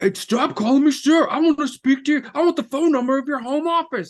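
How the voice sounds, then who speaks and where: A put-on character voice sits at a high pitch. It moves at a fairly quick pace. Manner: angry, demanding.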